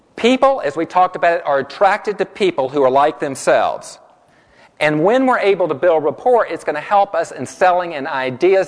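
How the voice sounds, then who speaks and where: Animated and lively in intonation, a man speaks at a high pitch. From US South. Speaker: corporate trainer. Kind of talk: workshop presentation. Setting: room with live audience. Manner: fast.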